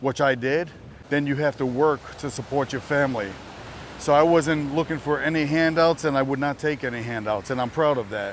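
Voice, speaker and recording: A man speaks at a fairly quick pace. He has a New Jersey accent. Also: fairly high pitch for a man, ordinary pitch variation. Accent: New Jersey American. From US, New Jersey. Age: 60s. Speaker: vlogger. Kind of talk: casual vlog talk to camera. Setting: outdoors, walking. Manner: loud.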